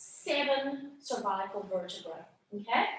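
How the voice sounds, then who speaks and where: A woman's raised, projected voice with a bright, sharp tone and audible room echo. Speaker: anatomy workshop instructor. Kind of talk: lecture. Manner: conversational, checking in with students.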